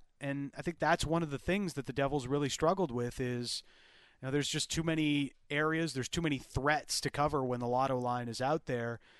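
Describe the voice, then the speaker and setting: The background stays quiet. A man talks at a fairly quick pace, his pitch fairly high. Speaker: hockey broadcast analyst. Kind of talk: excited play-by-play analysis over a goal replay. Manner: animated, gleeful, voices the player's taunt.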